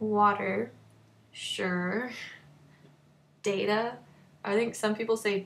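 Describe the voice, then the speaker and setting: This woman's somewhat breathy voice sits at a medium pitch, with fairly even intonation. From North Texas. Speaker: vlogger. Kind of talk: casual monologue, accent comparison video. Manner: casual, hesitant with many fillers.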